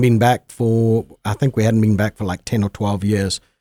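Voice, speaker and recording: This man speaks with a Zimbabwean accent and a dark, mellow tone. The sound is dry and close, with no echo. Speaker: guest. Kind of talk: interview conversation. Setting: studio.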